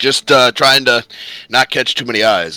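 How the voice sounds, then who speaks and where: A man puts on a raspy character voice. He keeps a moderate pace. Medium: actual play. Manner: hearty, warm.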